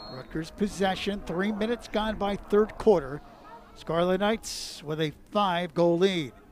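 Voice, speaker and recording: Over noticeable background noise, a man with a high voice speaks fairly slowly with ordinary pitch variation. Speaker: play-by-play announcer. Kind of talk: live sports commentary. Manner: animated, excitable call with sudden bursts on goals.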